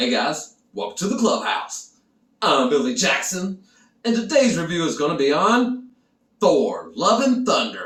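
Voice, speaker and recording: A man's high-pitched voice with very wide pitch swings at a fairly slow pace. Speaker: film reviewer. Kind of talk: casual video review.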